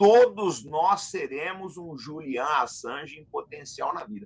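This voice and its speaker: A man's high-pitched voice with lively intonation, fairly slow, over a quiet background. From Brazil. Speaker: military analyst, retired officer; military analyst. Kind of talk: political analysis discussion. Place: home room.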